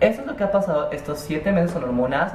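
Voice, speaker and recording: A woman's fairly low voice with lively intonation at a fairly quick pace, with audible room echo and light background noise. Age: 20s. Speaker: vlogger. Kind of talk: casual vlog monologue. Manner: rambling, hesitant. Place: home room. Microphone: webcam.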